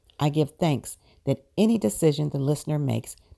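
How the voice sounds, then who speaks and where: Over a silent background in a very clean recording, a woman speaks at a moderate pace with a solemn, dark, mellow tone and a very deep, low pitch. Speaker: prayer circle lead. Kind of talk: guided prayer (spiritual mind treatment). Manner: measured, affirming, solemn cadence.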